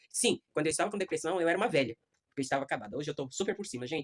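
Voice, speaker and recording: With a very deep, low pitch and lively intonation, a woman talks at a very fast pace in a dry, close recording with no echo. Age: 60s. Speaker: adult education student. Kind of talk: class speech, personal testimony.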